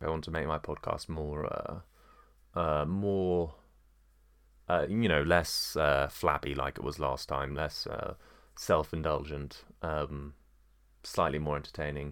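On a very clean recording with a silent background, a man with an English accent and a very deep, low pitch speaks at a fairly slow pace with fairly even intonation and long, frequent pauses. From England. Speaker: podcaster. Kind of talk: solo monologue podcast. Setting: at home with dog. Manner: halting, many fillers.

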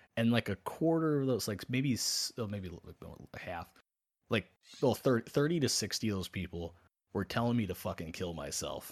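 An unremarkable speaking voice moves at a moderate pace with lively intonation on a very clean recording with a silent background. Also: man, medium pitch for a man. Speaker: podcast host. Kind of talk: casual banter, comedic chat. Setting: live-streamed podcast with chat. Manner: joking, crude.

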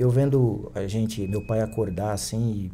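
A man's fairly low, somewhat breathy voice with a dark, mellow tone. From Brazil, Piauí (Picos). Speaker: kung fu teacher. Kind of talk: interview conversation.

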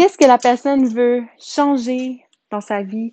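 Recorded with a dry, close sound and no echo, a woman speaks in a high pitch with ordinary pitch variation. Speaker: massage therapist and hypnotherapist. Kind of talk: solo podcast monologue. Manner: hesitant, many fillers.

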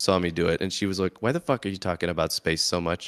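In a very clean recording with a silent background, a man with a very deep, low voice talks very fast. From US Midwest. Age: 30s. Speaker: podcast host and comedian.

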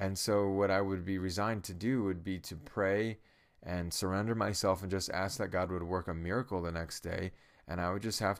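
On a very clean recording with a silent background, a man uses a normal speaking voice, fairly low in pitch, at a moderate pace. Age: 30s. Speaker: preacher and podcaster. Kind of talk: devotional monologue. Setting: at home in his room.

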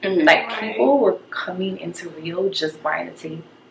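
Noticeable background noise is present. A woman speaks at a medium pitch. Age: 20s. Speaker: business owner. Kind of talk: casual chat.

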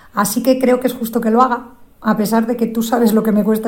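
A woman with a fairly high pitch talks at a very fast pace over noticeable background noise. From Zamora area, Spain. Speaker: listener contributor. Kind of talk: recorded personal message.

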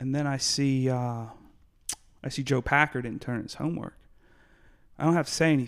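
A man speaks fairly quickly at a medium pitch. He has a plain, everyday voice. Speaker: podcast host. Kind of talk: casual interview chat.

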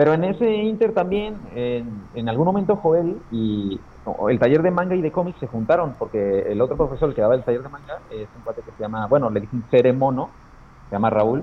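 At a moderate pace, a man with an ordinary speaking voice talks with lively intonation. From Mexico, Aguascalientes. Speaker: comic illustrator. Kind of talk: casual interview chat.

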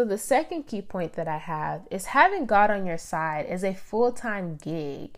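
In a very clean recording with a silent background, a woman speaks at a moderate pace with lively intonation. Hers is an unremarkable speaking voice, medium in pitch. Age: 20s. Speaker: podcast host. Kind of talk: casual faith-based monologue.

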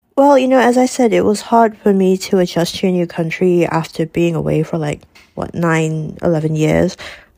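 Speaking with a Malaysian accent, a woman at a fairly low pitch has a dark, mellow tone and lively intonation at a moderate pace. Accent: Malaysian English (Manglish). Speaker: student. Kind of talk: interview.

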